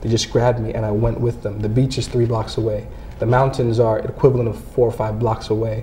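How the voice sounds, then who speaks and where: An American-accented man talks at a very fast pace in a medium pitch with monotone, flat intonation. Audible room echo and noticeable background noise are present. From Caribbean (St. Vincent), then New Jersey from age nine. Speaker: memoir author and former soccer coach. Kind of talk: interview. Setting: studio.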